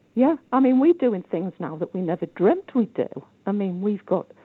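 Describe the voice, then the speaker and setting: With a Geordie accent, a woman speaks. Her pitch swings very widely. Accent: Geordie, north-east English. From County Durham, northern England. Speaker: caller. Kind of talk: casual chat. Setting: phone call.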